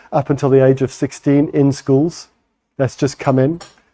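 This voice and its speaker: Fairly quick in pace, a man speaks with a fairly high pitch and a dark, mellow tone. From Botswana. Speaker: parent campaigner and phone entrepreneur. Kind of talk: conference talk.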